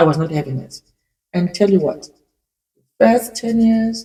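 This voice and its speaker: Somewhat breathy and dark, mellow in tone, a woman's voice moves with lively intonation. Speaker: immigrant. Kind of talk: casual talk to camera. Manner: emotional.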